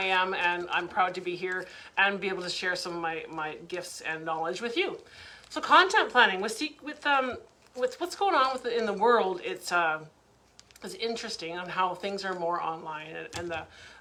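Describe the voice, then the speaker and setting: Over noticeable background noise and audible room echo, a woman at medium pitch talks with lively intonation and big swings in loudness. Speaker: online business coach. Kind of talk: live webinar training. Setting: Facebook live stream. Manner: fast.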